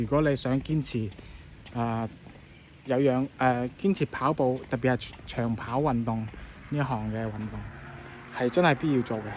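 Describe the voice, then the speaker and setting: The man's pitch is medium, with ordinary variation. His tone is relaxed. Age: middle-aged. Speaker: amateur runner recovering from injury. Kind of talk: casual vlog talk to camera. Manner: relaxed, hesitant.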